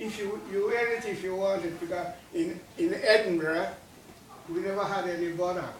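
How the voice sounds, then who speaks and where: The speech moves at a moderate pace with fairly even intonation, heard through audible room echo and noticeable background noise. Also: man, high pitch for a man. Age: 80s+. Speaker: war veteran. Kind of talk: talk to school children. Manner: halting.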